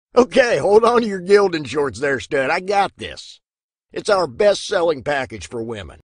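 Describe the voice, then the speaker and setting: A man talks at a moderate pace with a high pitch. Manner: snarky, mocking.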